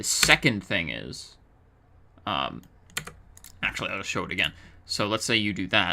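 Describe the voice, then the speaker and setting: A man's very deep, low voice with vocal fry, a bright, sharp tone, very wide pitch swings, and long, frequent pauses. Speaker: 3D artist. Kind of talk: software tutorial narration. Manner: slow.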